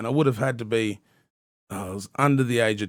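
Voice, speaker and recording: A man at a fairly quick pace with fairly even intonation, on a very clean recording with a silent background. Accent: Australian. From Australia, southern Tasmania. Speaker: hip-hop podcast host and rapper. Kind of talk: casual chat. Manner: stuttering; casual, halting with fillers.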